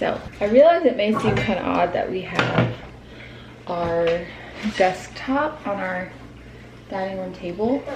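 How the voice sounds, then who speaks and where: Whispering at a fairly slow pace with long, frequent pauses, a woman is heard amid audible room echo and noticeable background noise. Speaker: stay-at-home mom vlogger. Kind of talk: casual vlog talk to camera. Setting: at home in kitchen. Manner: casual, filler-heavy; whispering at start.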